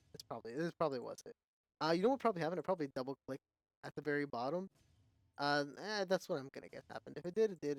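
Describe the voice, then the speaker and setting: A man talks at a very fast pace with ordinary pitch variation in a dry, close sound with no echo. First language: not English. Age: 30s. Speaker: gaming content creator. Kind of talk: casual gameplay commentary. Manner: halting, many fillers and restarts.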